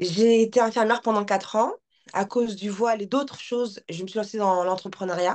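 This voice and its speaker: The woman has an unremarkable speaking voice with a fairly high pitch. She speaks at a fairly quick pace with fairly even intonation. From France. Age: 30s. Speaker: life coach and content creator. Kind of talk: casual chat.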